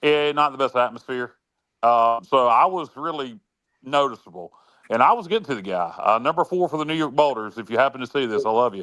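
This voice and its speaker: Loud and fairly quick, the voice has a bright, sharp tone and a dry, close sound with no echo. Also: man, medium pitch for a man, very clean recording, silent background. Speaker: sports talk show co-host. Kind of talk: casual chat. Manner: halting, many fillers.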